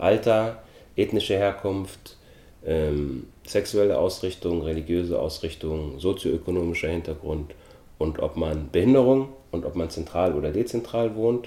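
A man's fairly low-pitched voice with a dark, mellow tone and long, frequent pauses. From Austria. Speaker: actor and film producer. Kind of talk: interview.

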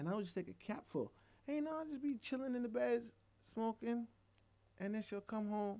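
In a dark, mellow tone, a man talks fairly quickly at a high pitch, with long, frequent pauses. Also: ordinary pitch variation. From Jamaica. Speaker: edibles business owner. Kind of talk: casual chat.

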